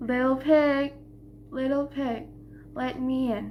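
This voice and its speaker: This put-on character voice runs high in pitch at a fairly slow pace. Clear background noise sits behind it. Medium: read story. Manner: menacing.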